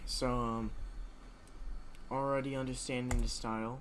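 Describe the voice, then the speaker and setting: The voice is quiet. Its pace is moderate. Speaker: gaming streamer. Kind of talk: game stream commentary.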